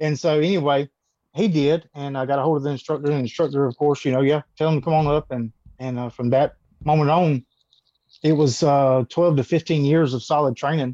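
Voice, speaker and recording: A man with a fairly high pitch and a dark, mellow tone speaks at a fairly quick pace with fairly even intonation, the sound dry and close with no echo. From US South, Georgia. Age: 30s. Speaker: martial artist and former police officer. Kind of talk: interview.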